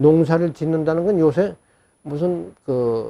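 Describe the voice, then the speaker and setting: Speaking very slowly, a man uses a fairly high pitch with a dark, mellow tone. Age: old. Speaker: ancient history storyteller. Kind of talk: interview answer.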